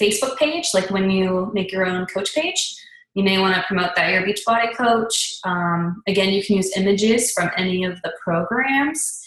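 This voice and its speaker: A woman's medium-pitched voice at a moderate pace with ordinary pitch variation, hardly any pauses, and audible room echo. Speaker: fitness business coach. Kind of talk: tutorial. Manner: rambling, casual.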